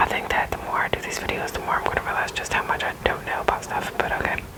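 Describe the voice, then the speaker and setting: Whispering at a very fast pace, a woman is heard over noticeable background noise. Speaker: ASMR creator. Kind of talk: ASMR object explanation. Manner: soft-spoken, whispery.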